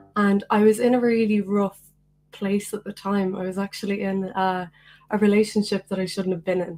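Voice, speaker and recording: This woman has an Irish accent and a medium pitch. Her intonation stays monotone and flat. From Ireland, County Meath. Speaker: singer-songwriter. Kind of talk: casual chat. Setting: video call.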